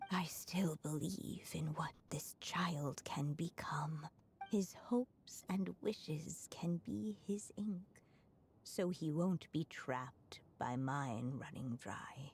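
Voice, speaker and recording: A put-on character voice moves at a very slow pace. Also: woman, very deep, low pitch for a woman. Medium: video game. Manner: gentle, tender.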